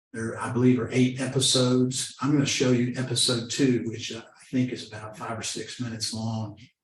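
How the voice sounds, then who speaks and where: With an American accent, a man speaks at medium pitch in a monotone, flat, somewhat breathy way, his loudness swinging widely amid audible room echo. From Oklahoma, Seminole. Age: 60s. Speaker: lawyer and addiction awareness speaker. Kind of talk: presentation talk. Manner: conversational with hesitations.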